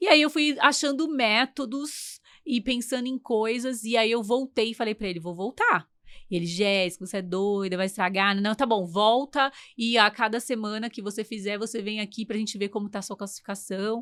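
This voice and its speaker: Very clean recording and a silent background, a woman at a fairly high pitch, ordinary pitch variation, a moderate pace. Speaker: podcast host and English teacher. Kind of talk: casual interview chat. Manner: talkative.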